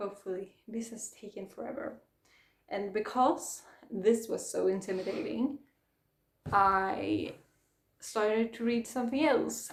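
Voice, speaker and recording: With a Swedish accent, a woman speaks at a fairly slow pace with long, frequent pauses. Her fairly high pitch carries vocal fry, and her loudness swings widely. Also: ordinary pitch variation. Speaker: book vlogger. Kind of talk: casual chat.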